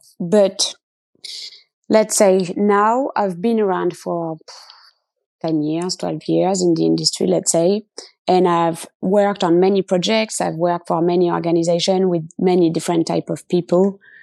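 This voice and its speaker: A woman with a French accent speaks at a fairly slow pace in a fairly low pitch, with a dark, mellow tone and ordinary pitch variation. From France. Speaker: product lead. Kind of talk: interview.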